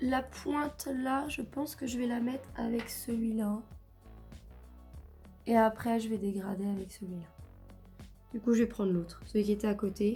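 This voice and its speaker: Music plays in the background as a woman speaks. Her pitch is fairly high and her pace fairly slow. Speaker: makeup youtuber. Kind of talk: casual talk to camera.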